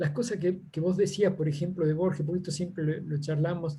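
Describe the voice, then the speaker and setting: Fairly even intonation runs through a voice with a dark, mellow tone. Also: man. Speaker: seminar participant. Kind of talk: Q&A discussion. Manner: halting, many fillers.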